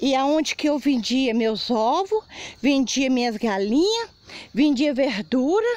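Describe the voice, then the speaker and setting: Over noticeable background noise, the voice moves at a very slow pace, holding very even loudness while its pitch swings very widely. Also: woman, high pitch for a woman. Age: 60s. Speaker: affected resident. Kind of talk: interview testimony.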